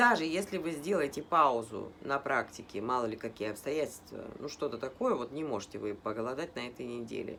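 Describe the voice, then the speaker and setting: Moderate-speed speech from a woman whose pitch ranges very widely. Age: 50s. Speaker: health blogger. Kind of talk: casual talk to camera.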